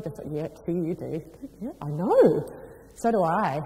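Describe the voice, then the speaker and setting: Audible room echo surrounds a woman speaking in an animated tone at a moderate pace with ordinary pitch variation. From New Zealand and UK. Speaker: business executive, motivational speaker. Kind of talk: motivational talk. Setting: stage with audience.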